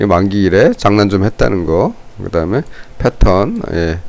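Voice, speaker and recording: His voice sits very deep and low. The man talks at a very slow pace. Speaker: stock market commentator. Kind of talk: unscripted market analysis commentary. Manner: halting, unscripted.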